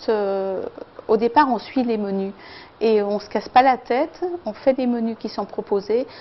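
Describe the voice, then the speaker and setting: Pitch variation is ordinary as the words come out at a fairly slow pace. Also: woman. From France, Lyon region. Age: 60s. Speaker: weight-loss program participant. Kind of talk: testimony. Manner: hesitant, many filler sounds.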